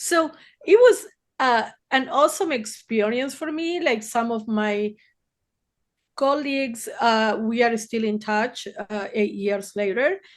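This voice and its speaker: A woman speaks with a Spanish accent at a fairly high pitch and lively intonation. Her pace is fairly slow, broken by long, frequent pauses against a quiet background. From Argentina, Buenos Aires. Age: 60s. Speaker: therapist. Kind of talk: podcast interview.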